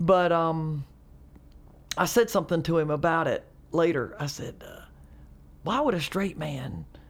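With a Southern accent, a woman speaks at a fairly low pitch with ordinary pitch variation. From US South, North Carolina. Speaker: comedian. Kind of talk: casual chat.

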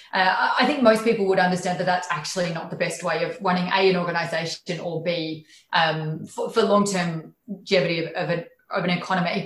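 A woman's fairly low voice in an Australian accent, with fairly even intonation. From regional Queensland, Australia. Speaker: tech company country manager. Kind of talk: interview.

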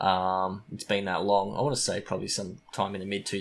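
In a very clean recording with a silent background, a man with an Australian accent speaks very fast in a monotone, flat intonation at a fairly low pitch. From Australia, small country town. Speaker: podcaster. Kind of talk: casual chat.

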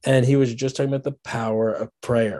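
A man's medium-pitched, dark, mellow voice with fairly even intonation and an American accent, against a quiet background. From Washington, D.C. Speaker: pastor and author. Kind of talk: podcast interview.

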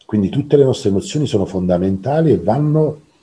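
A man with a dark, mellow tone and vocal fry talks at a fairly quick pace, his pitch swinging very widely. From southern Italy, Naples. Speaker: coach. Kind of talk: interview conversation.

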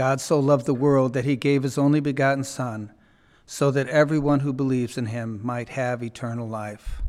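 At a moderate pace, a man talks in a plain, everyday voice with a medium pitch and fairly even intonation. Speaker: lector reading scripture. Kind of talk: reading aloud. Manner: measured, formal.

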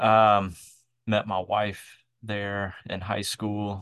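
In a Southern US accent, a man with a fairly low pitch talks over a quiet background. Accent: Southern US (Georgia). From US South, south Georgia then Atlanta. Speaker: microchurch network leader. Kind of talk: casual interview.

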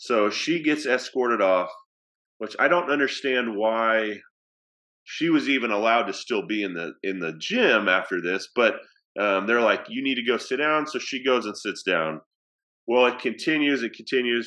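The speaker has an American accent and lively intonation. The pace is moderate and the background is quiet. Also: man, medium pitch for a man. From Oklahoma. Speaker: athletic director. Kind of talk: casual interview chat.

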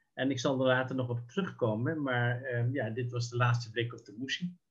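Somewhat breathy, a man's voice sits at a medium pitch. He speaks at a fairly slow pace. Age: 70s. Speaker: sociologist and local councillor. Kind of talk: interview reminiscing. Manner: halting, many hesitations.

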